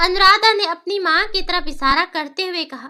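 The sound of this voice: The woman's voice is extremely high-pitched, with a bright, sharp tone. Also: ordinary pitch variation, moderate pace, very clean recording, silent background.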